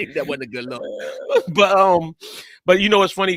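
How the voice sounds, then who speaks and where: A man speaks with an American accent. The recording is very clean, with a silent background and a dry, close sound with no echo. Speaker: sports podcast co-host. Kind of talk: casual sports talk. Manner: animated, loud when debating.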